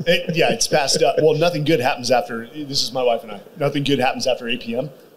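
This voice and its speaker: A man with a fairly high pitch and ordinary pitch variation at a very fast pace, with noticeable background noise. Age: 40s. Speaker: podcast host. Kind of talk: casual interview. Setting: stage with live audience.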